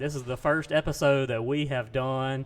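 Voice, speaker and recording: This voice belongs to a man. Its pitch is mid-range. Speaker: podcast host. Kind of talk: podcast intro.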